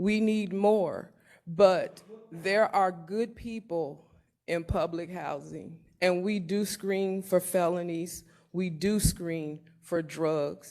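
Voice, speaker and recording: At a very slow pace, a woman with an American accent speaks in a dark, mellow tone at a medium pitch with fairly even intonation. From Elkhart, Indiana, US Midwest. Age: 60s. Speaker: resident speaking at public comment. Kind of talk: public comment at council meeting.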